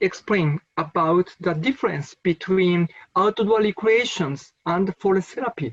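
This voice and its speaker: The speech comes at a fairly slow pace in a Japanese accent. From Japan, Nagano. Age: 50s. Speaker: forest therapy researcher. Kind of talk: conference lecture. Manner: halting, non-native phrasing.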